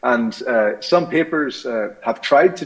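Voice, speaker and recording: The speaker is a man. He talks with an Irish accent. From Ireland. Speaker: scientist. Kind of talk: conference talk. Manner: hesitant, many fillers.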